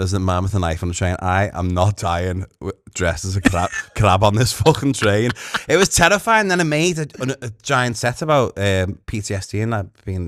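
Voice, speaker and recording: A man with a fairly low voice is heard in a very clean recording with a silent background. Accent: Liverpool. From Liverpool. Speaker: comedian. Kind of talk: interview answer. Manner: camp, cheeky.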